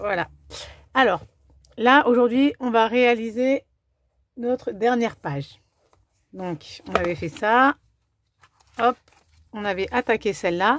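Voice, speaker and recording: Very slow, lively speech from a woman at a fairly high pitch, with long, frequent pauses and a dry, close sound with no echo. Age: 40s. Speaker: craft demonstrator and scrapbooking video maker. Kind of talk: tutorial; sales pitch. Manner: casual, hesitant with fillers.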